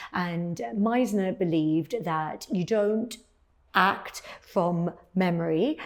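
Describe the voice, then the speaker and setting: This woman has a British accent. Her pitch sits fairly low. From England. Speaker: cosmetic dentist and former actress. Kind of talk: personal storytelling monologue. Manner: many fillers and repetitions.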